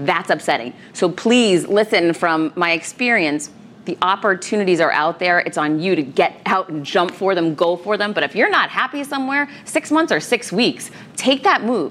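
Over noticeable background noise, a woman speaks at a moderate pace in a medium pitch with very wide pitch swings. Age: 40s. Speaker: author and keynote speaker. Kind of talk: interview.

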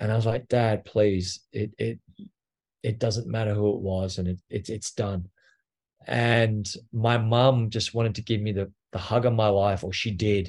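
A man with an Australian accent, fairly low-pitched and fairly slow, flat and monotone in delivery, over a quiet background. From Australia, near Canberra. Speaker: abuse survivor and advocate. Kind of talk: personal testimony interview.

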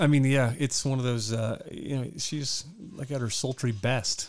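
This man uses a normal speaking voice, medium in pitch. The intonation is fairly even. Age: 40s. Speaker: movie podcast co-host. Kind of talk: casual chat.

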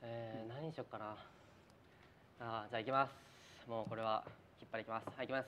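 A man with a bright, sharp tone and medium pitch talks very fast, with long, frequent pauses and big swings in loudness. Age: 20s. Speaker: actor and show host. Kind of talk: casual chat on live stream. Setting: live stream from studio. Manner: animated.

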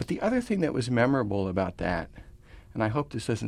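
A man's voice with vocal fry. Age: 60s. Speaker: author and concert programmer. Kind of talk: radio interview discussion.

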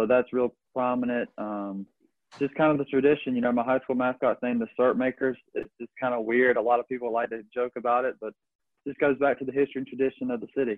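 A man with a Southern US accent speaks at a very fast pace and a medium pitch, his intonation monotone and flat. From US South, Georgia. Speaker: baseball pitcher, draft pick. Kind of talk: casual interview.

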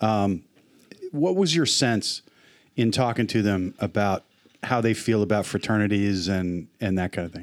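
A plain, everyday voice belongs to a man with an American accent who talks at a moderate pace in a fairly low pitch with ordinary pitch variation. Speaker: podcast co-host. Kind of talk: casual chat. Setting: studio.

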